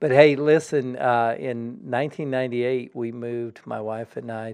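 A man with an American accent speaks in an unremarkable speaking voice at a medium pitch, with fairly even intonation at a moderate pace. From Colorado. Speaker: college president and pastor. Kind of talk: casual religious discussion.

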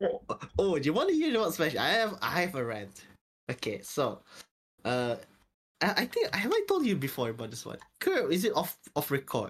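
Fairly quick speech with a Malaysian accent, broken by long, frequent pauses. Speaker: podcast co-host. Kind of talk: casual chat.

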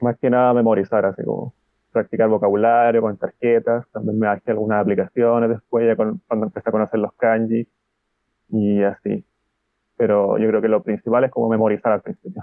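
This man has a Chilean accent and a medium pitch. He talks at a fairly quick pace with fairly even intonation. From Chile, Concepción. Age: 20s. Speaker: translator and Japanese learner. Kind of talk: interview.

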